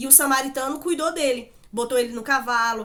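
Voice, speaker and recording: A woman speaks fairly quickly and in an animated tone while noticeable background noise plays. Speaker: Bible teacher. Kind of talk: Bible study talk.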